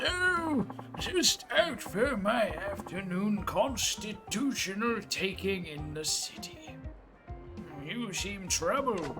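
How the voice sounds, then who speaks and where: Putting on a character voice, a man speaks very slowly in a raised, projected, high-pitched voice while clear music plays in the background. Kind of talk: polite, formal.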